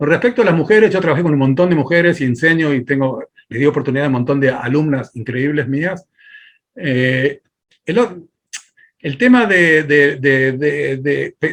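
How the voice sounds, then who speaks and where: A man with a normal speaking voice, fairly high-pitched, with lively intonation at a moderate pace. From Argentina. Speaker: filmmaker and film teacher. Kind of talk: interview.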